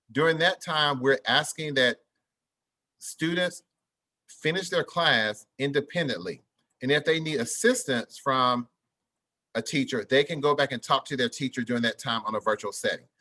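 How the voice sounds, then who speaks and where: A man with a fairly high pitch and a bright, sharp tone talks at a moderate pace with long, frequent pauses and ordinary pitch variation, the sound dry and close with no echo over a quiet background. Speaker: school principal. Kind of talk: parent information presentation. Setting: live video meeting streamed online.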